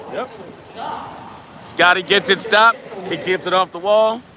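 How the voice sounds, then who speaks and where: Loud over noticeable background noise, a man speaks. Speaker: drag racing livestreamer. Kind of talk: live commentary. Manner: animated.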